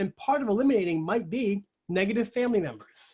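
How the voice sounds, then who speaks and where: The speaker is a man whose voice sits high. He talks with lively intonation. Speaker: organization development coach. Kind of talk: webinar presentation. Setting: webinar. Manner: fast.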